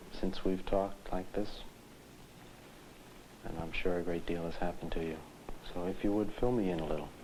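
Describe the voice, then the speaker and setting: At a fairly quick pace, a man with a very deep, low pitch speaks with fairly even intonation and long, frequent pauses. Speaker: psychiatrist. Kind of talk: clinical interview questions.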